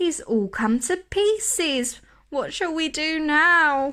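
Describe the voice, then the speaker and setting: A woman uses a put-on character voice with an extremely high pitch. She talks at a very slow pace. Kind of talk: bedtime story. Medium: read story. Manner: easygoing, questioning.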